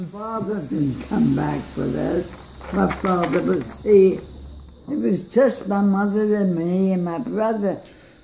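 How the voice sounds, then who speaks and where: A woman speaks very slowly in an American accent, her intonation lively. Noticeable background noise runs behind her. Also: medium pitch for a woman. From United States. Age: 80s+. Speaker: centenarian. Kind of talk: interview answer.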